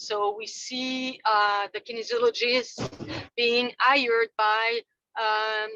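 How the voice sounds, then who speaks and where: A woman's fairly high, bright and sharp voice in a Quebec French accent, monotone and flat, with a dry, close sound and no echo. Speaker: fitness industry representative. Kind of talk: business meeting update. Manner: halting.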